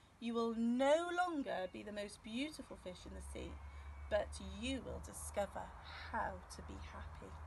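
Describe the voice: In a put-on character voice, a woman talks at a fairly slow pace with a fairly high pitch, big pitch swings and vocal fry.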